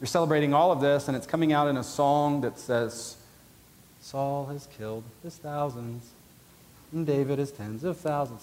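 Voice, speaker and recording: A man talks in a plain, everyday voice, pitched fairly high. He keeps a moderate pace with ordinary pitch variation. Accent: American. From US South (Georgia). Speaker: biblical counseling professor and pastor, army veteran. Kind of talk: conference lecture. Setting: conference hall with audience.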